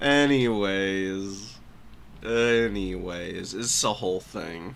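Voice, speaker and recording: Audible room echo surrounds a man's fairly low voice. He speaks at a very slow pace with ordinary pitch variation. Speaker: gaming streamer and commentator. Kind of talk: live stream commentary.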